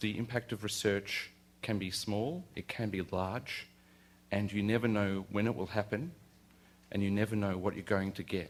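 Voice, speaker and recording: With an Australian accent, a man speaks at a moderate pace and a fairly low pitch in a very clean recording with a silent background. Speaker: university lecturer. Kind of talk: lecture. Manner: halting.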